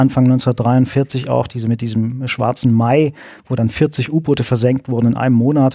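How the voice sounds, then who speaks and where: Very cleanly recorded with a silent background and a dry, close sound without echo, a man speaks at a moderate pace in a dark, mellow tone of medium pitch. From East Germany. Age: 40s. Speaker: historian. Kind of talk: interview.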